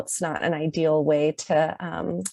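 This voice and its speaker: A soft-spoken woman. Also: dry, close sound with no echo. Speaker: law scholar. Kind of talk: conference talk. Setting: video call. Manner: hesitant, many fillers.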